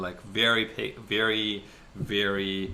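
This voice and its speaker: A man speaks with a non-native accent. His pitch is fairly low. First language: not English. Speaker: podcast co-host. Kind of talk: casual chat.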